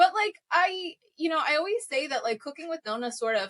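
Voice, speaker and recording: A woman's bright, sharp tone leaps through very wide pitch swings. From Bensonhurst, Brooklyn, New York. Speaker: food entrepreneur and author. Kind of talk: casual interview chat.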